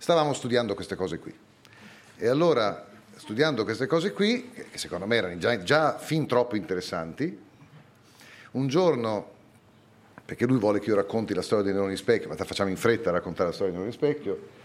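At a medium pitch, a man talks at a fairly quick pace with lively intonation and long, frequent pauses. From Italy, Bologna. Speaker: neurophysiology professor. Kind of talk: live public talk. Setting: stage with audience.

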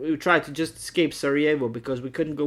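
A man talks at a fairly quick pace in a fairly high pitch, with ordinary pitch variation. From Bosnia. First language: Bosnian. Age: 30s. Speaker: Danish teacher and rapper. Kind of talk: interview testimony. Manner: halting.

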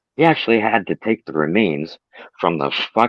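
A natural voice reads aloud here, its intonation lively. Little else can be heard behind it.

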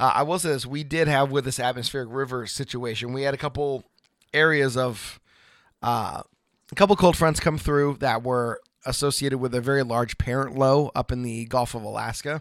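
A man with an ordinary speaking voice talks at a moderate pace in an American accent, with medium pitch and fairly even intonation. The recording is very clean, with a silent background. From Oregon. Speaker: weather podcast co-host, former TV weather producer. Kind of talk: casual chat.

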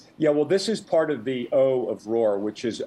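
In a plain, everyday voice, a man talks at a moderate pace with ordinary pitch variation. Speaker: author and former publishing executive. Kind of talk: radio interview. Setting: radio studio or phone-in.

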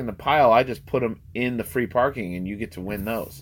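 A man speaks fairly quickly in a plain, everyday voice with ordinary pitch variation. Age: 30s. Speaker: sports podcast co-host. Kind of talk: casual chat.

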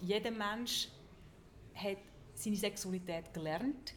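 A woman with a Swiss accent speaks at medium pitch and a fairly slow pace. There is noticeable background noise. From Switzerland. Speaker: journalist and sex educator. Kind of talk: live talk before audience. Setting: hotel lobby with audience.

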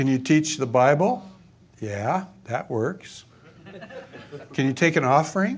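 A man with an American accent and fairly high pitch, with very wide pitch swings, a fairly slow pace, and long, frequent pauses. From Oregon, US. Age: 70s. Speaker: pastor and author. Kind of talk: conference talk. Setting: stage with audience. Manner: animated, repetitive false starts.

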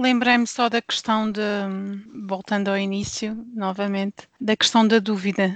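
This woman speaks in a monotone, flat way at a fairly slow pace, her pitch medium. The sound is dry and close with no echo, and she has a European Portuguese accent. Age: 40s. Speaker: pastor's wife and devotional author. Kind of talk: casual chat.

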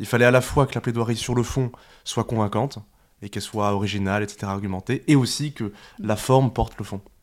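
A man's intonation stays fairly even. His pitch sits in the medium range. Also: fairly quick pace. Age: 20s. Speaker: animal rights youth activist. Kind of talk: casual interview. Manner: halting.

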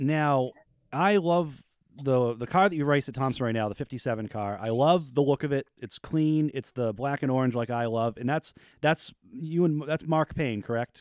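In a plain, everyday voice, a man with an American accent talks at a moderate pace and a fairly high pitch, with ordinary pitch variation and a dry, close sound with no echo. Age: 30s. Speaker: podcast host and racer. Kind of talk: casual chat.

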